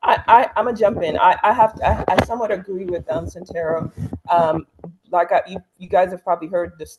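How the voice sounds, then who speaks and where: Speaking at a moderate pace, this is a woman's voice. She has a slight Caribbean accent. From Antigua, Caribbean. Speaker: talk show co-host. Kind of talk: casual discussion.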